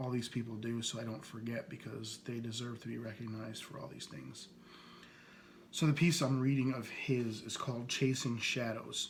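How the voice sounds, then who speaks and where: A man speaks at medium pitch and a moderate pace, somewhat breathy, with a slight US East Coast accent. His loudness swings widely over ordinary pitch variation, and the room echo is audible. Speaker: podcast host. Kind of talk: casual podcast monologue introducing poets. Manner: hesitant, many fillers.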